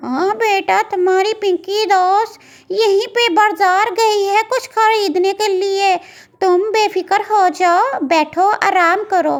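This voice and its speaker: A woman's cartoonish character voice, extremely high in pitch, at a fairly slow pace. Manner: warm, homely.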